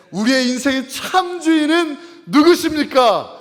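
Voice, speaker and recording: Noticeable background noise runs behind a man talking at a fairly slow pace. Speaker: pastor. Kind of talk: sermon. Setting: church. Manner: call-and-response, raising voice; hesitant fillers.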